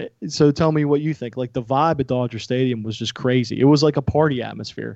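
A man talks at a very fast pace in a Pittsburgh accent. The sound is dry and close with no echo. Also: medium pitch for a man. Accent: western Pennsylvania (Pittsburgh). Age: 40s. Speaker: podcast guest, music and baseball fan. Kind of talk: casual chat.

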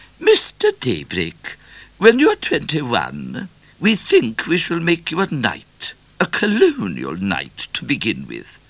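A man uses a put-on character voice at medium pitch, slow and fairly bright, with very wide pitch swings.

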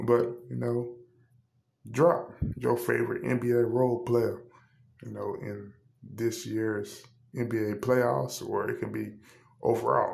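Room echo is audible as a man talks with long, frequent pauses. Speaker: sports podcast host. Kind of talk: solo podcast monologue. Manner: hesitant with frequent fillers.

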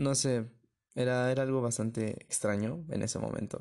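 Over a quiet background, a man with a dark, mellow tone speaks at a fairly slow pace with fairly even intonation. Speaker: podcast host. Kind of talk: casual monologue.

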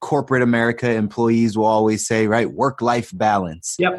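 The delivery has an energetic tone at a moderate pace. The background is quiet. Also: man. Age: 30s. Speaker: podcast host, entrepreneur. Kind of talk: casual interview.

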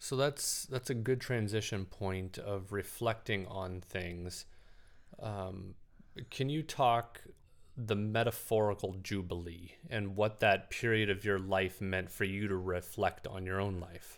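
An ordinary speaking voice at a fairly slow pace. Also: man, fairly low pitch for a man, ordinary pitch variation. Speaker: podcast host. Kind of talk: interview conversation.

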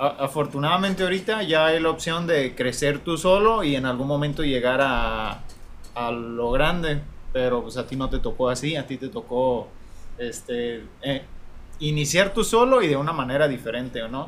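A man with a fairly high voice and lively intonation keeps a moderate speed while noticeable background noise plays behind him. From Mexico, Apatzingán, Michoacán. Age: young. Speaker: podcast co-host. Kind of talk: casual chat.

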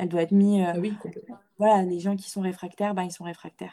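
A woman speaks at a fairly quick pace and medium pitch, her tone dark and mellow, her intonation monotone and flat. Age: 20s. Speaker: feminist content creator and student. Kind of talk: interview. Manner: halting.

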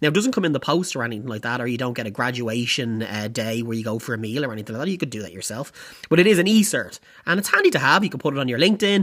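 Very fast speech in an Irish accent. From Ireland. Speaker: podcast host. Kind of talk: casual monologue.

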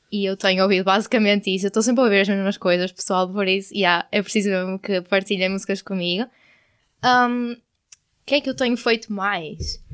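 The recording is very clean, with a silent background. A woman at a medium pitch speaks with a European Portuguese accent and fairly even intonation. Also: fairly quick pace. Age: 20s. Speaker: podcast co-host, university student. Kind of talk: casual chat. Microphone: new microphone.

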